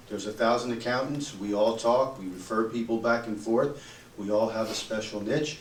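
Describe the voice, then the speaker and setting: Amid noticeable background noise and audible room echo, a man of medium pitch talks at a moderate pace with fairly even intonation. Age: 60s. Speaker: accountant. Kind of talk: audience comment in panel discussion.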